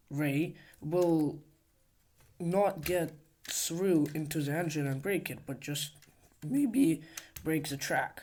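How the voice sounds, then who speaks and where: The speech moves at a very slow pace. It carries a non-native accent. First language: not English. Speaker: hobbyist video creator. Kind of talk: casual show-and-tell tutorial. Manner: halting, many fillers.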